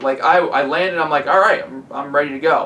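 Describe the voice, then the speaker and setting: Noticeable background noise sits behind a man speaking fairly quickly in a fairly high voice with ordinary pitch variation. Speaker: tech product reviewer. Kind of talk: product review. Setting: at home. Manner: casual, conversational; talking louder with headphones on.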